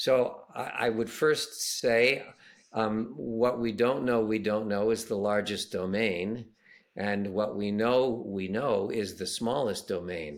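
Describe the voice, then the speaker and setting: A man's very slow speech at medium pitch, with ordinary pitch variation. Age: 70s. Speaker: educator, school founder. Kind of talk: casual chat. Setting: video call.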